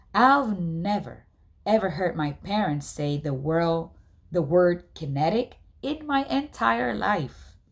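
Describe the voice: Slow, lively intonation from a woman's fairly low voice with vocal fry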